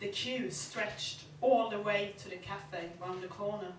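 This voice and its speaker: A woman with a Swedish accent, medium in pitch and fairly slow in pace, over noticeable background noise. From Sweden. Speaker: novelist; performance poet. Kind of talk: live short story reading. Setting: live venue.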